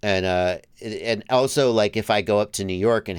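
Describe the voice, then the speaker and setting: Recorded very cleanly against a silent background, this voice carries an American accent, moves at a moderate pace and shows ordinary pitch variation. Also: man. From US South, Georgia. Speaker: FPV drone YouTuber, livestream host. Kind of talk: casual chat.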